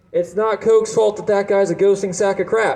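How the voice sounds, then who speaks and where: This man speaks with a New Jersey accent. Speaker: stand-up comedian. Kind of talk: stand-up. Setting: stage with audience.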